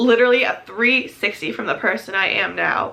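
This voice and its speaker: Speaking at a moderate pace, a woman with a fairly high pitch shows vocal fry. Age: 20s. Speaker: lifestyle vlogger. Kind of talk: casual vlog monologue.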